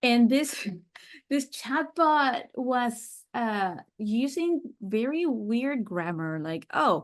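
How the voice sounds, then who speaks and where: A woman speaks with a Spanish accent. Her pitch is fairly high and her intonation lively. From Mexico City, Mexico. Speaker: sales systems and AI chatbot consultant. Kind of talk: podcast interview.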